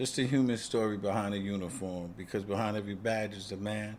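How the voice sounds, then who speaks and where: An ordinary speaking voice belongs to a man with an American accent, fairly low in pitch, fairly quick in pace, and fairly even in intonation. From Queens, New York. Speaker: retired police officer and podcast host. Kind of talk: promotional monologue.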